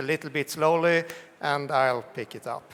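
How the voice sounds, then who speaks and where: Fairly slow, fairly even speech from a man with a fairly high pitch and a Swedish accent. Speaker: tech company CEO, keynote speaker. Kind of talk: conference keynote. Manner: hesitant, with fillers.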